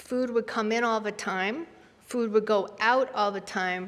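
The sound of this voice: The pitch varies in an ordinary way. It belongs to an unforced reading voice.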